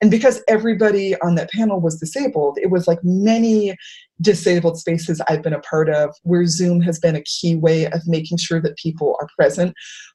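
Somewhat breathy, a woman with a dark, mellow tone and a fairly low pitch talks at a fairly quick pace with ordinary pitch variation. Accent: American. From Worcester, Massachusetts. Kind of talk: panel discussion. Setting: video call.

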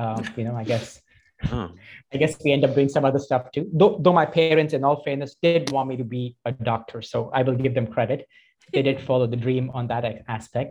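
A man talks at a fairly quick pace in a medium pitch, with ordinary pitch variation. His voice is somewhat breathy. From India. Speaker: yoga teacher. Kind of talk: interview conversation. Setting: video call.

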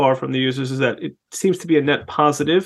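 The man speaks very fast. He keeps his intonation fairly even. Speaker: sex therapist podcast host. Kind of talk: interview.

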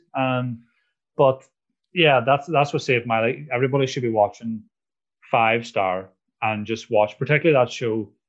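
A man with a Northern Irish accent, medium in pitch, at a moderate pace with long, frequent pauses, ordinary pitch variation and a quiet background. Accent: Northern Irish (Tyrone). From Northern Ireland, Strabane. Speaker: comedian. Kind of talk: casual chat.

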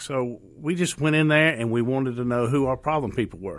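Speaking at a fairly quick pace, a man talks in a Southern US accent. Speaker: police officer. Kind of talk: radio interview. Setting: radio studio.

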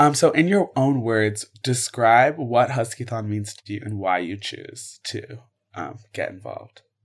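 In a very clean recording with a silent background, a somewhat breathy man at a medium pitch speaks at a fairly slow pace, with lively intonation and big swings in loudness. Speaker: student podcast host. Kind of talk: interview.

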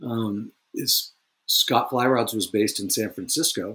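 Talking at a very slow pace, a man with a Californian accent uses ordinary pitch variation. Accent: Californian American English. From Northern California. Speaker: fly rod company president and designer. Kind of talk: interview. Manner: hesitant with frequent ums.

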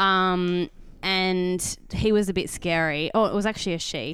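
A woman speaks with an Australian accent. Her pitch is medium, with ordinary variation. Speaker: podcast co-host. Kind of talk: casual chat.

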